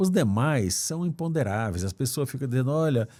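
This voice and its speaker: A dark, mellow tone with ordinary pitch variation comes through a very clean recording with a silent background. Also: man. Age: 70s. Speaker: former judge running for Senate. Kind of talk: interview. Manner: halting, repeats words.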